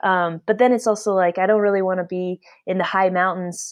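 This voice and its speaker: A woman's unremarkable speaking voice with an American accent, medium in pitch, fairly even in intonation, at a moderate pace over a quiet background. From Alaska. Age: 30s. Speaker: endurance cyclist. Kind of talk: interview.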